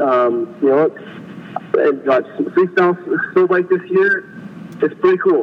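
A man's high-pitched voice with lively intonation at a fairly slow pace, over noticeable background noise. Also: big swings in loudness. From British Columbia, Canada. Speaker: snow bike racer. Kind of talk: interview. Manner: casual, laid-back.

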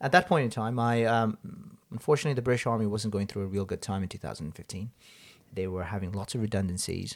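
Talking at a very fast pace, a man with a fairly low pitch uses ordinary pitch variation. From Hong Kong, Nepali Gurkha family. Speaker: army veteran turned engineer. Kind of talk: interview. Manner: halting.

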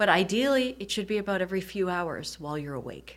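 A woman talks in a plain, everyday voice with an American accent. Her intonation is lively and her pace fairly quick. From US Midwest, Michigan. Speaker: urologist. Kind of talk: interview.

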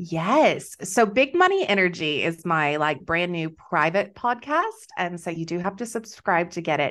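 A plain, everyday voice with an American accent speaks at a moderate pace with lively intonation over a quiet background. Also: woman, fairly low pitch for a woman. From Texas. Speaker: business coach. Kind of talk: interview, casual chat.

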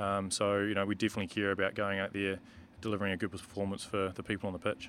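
Speaking very fast in a New Zealand accent, a man talks at a fairly low pitch. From New Zealand, Marlborough. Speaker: rugby referee. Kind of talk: casual interview. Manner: hesitant, many ums.

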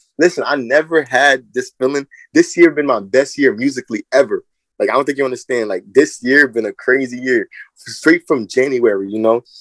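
Here is a man with an unremarkable speaking voice and an American accent, talking at a fairly quick pace. His pitch varies in an ordinary way, and the sound is dry and close with no echo. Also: medium pitch for a man. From New Jersey. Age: 20s. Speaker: rapper. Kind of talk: interview.

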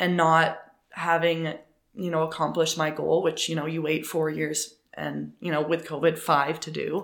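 In a Canadian accent, a woman speaks with vocal fry at a very deep, low pitch and monotone, flat intonation. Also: moderate pace. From Canada, Ontario. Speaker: professional runner. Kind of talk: interview.

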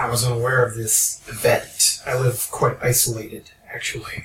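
Using a raspy, put-on character voice, a man speaks at a moderate pace in a medium pitch with monotone, flat intonation. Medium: actual play. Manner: terse, blunt.

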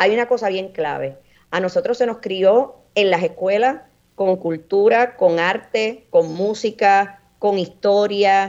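This woman talks at a very slow pace, and her medium-pitched voice shows ordinary pitch variation. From Puerto Rico, Orocovis. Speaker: coffee grower and entrepreneur. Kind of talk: radio interview.

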